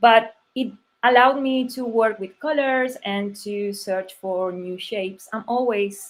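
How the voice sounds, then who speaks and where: A Spanish accent, fairly slow pace and lively intonation. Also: woman. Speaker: type designer. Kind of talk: conference talk. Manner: halting.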